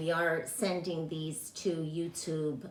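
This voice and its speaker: A woman with a fairly low voice talks against noticeable background noise. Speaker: health and wellness teacher. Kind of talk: online class talk. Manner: halting, many fillers.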